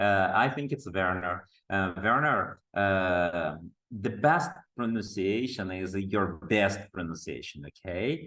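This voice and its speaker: A man speaks with a strong Brazilian accent and a bright, sharp tone at a fairly low pitch. His pace is very slow, and his intonation is lively. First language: Portuguese. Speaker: teacher trainer. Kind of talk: online workshop lecture. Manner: halting, many fillers.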